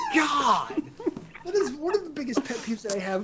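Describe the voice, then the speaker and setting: A man at a fairly quick pace with very wide pitch swings, over noticeable background noise. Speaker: gaming website co-owner. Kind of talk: casual podcast chat. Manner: animated.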